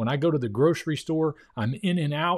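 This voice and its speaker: Ordinary pitch variation in a man's speech. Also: quiet background. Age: 50s. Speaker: YouTuber reacting to interview. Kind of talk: video reaction commentary. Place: home room. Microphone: studio mic.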